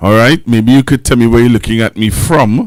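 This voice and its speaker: The pitch sits in the medium range. The speaker is a man. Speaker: pastor hosting a live stream. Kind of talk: live stream chat reading viewer comments. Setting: live stream. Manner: loud.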